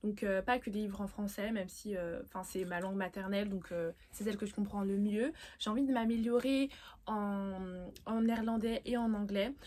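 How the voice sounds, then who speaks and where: Speaking at a moderate pace, a woman has a dark, mellow tone, a medium pitch and fairly even intonation. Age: young. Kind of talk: casual vlog about books. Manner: hesitant, many fillers.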